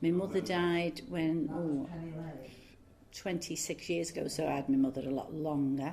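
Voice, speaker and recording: Speaking fairly slowly with a Liverpool accent, a woman has a dark, mellow tone. Her pitch is fairly low, with ordinary pitch variation. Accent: Liverpool (Scouse). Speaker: oral history interviewee, former factory worker. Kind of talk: oral history interview. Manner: casual, hesitant with fillers.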